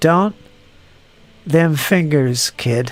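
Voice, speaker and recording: A man puts on a gruff character voice pitched fairly high. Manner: menacing, warning.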